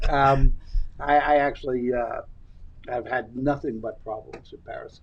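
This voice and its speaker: A man with a Brooklyn accent, fairly high-pitched and monotone, fairly slow, with big swings in loudness. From New York, Brooklyn. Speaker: podcast co-host. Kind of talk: casual interview chat.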